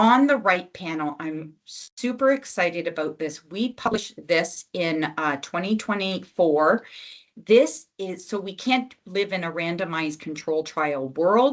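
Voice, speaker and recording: A woman with a fairly low pitch talks in an unremarkable speaking voice. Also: lively intonation, fairly slow pace. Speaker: health program lead presenting to physicians. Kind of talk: webinar presentation with slides.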